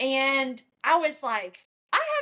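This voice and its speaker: A high-pitched woman talks with a Kentucky accent. Her intonation is lively. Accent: country (rural Kentucky). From Kentucky, rural. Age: 30s. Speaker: country singer. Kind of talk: casual interview.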